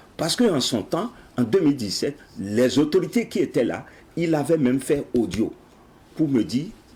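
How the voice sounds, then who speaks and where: The man's voice is fairly high, with vocal fry. His pitch swings very widely at a moderate pace. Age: 60s. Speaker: project founder, patriotic education advocate. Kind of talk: TV interview.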